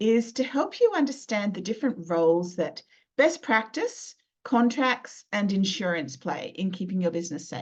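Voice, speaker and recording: A woman with an Australian accent, her fairly high, somewhat breathy voice making very wide pitch swings at a moderate pace. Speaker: lawyer and business mentor. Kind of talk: webinar presentation. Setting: live video webinar.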